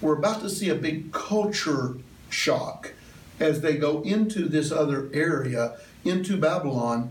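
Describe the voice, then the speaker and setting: Speaking fairly slowly with long, frequent pauses, a man with a Southern US accent and fairly high pitch keeps his loudness very even and his pitch variation ordinary, with audible room echo and noticeable background noise. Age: 50s. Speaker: church elder teaching Bible class. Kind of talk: Bible class lecture. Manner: conversational, with many fillers.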